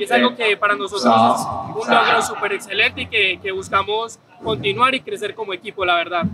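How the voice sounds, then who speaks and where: Over loud background noise, a man with a high pitch projects his raised voice at a fairly quick pace, with lively intonation and hardly any pauses. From Colombia. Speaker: esports player. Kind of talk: interview testimony. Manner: motivational, earnest. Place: stage.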